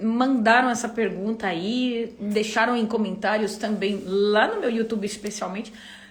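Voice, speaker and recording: The tone is animated and the pace fairly slow, with audible room echo. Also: woman. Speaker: YouTuber and live host. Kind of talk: casual livestream chat. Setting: livestream.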